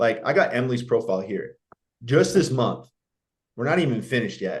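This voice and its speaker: Somewhat breathy and animated, the voice moves at a fairly quick pace with very wide pitch swings. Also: man. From Canada. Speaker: marketing business founder, guest speaker. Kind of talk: webinar presentation. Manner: fast.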